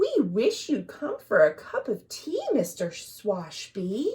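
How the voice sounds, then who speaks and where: Using a put-on character voice, a woman speaks at a high pitch. She talks at a fairly slow pace. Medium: read story.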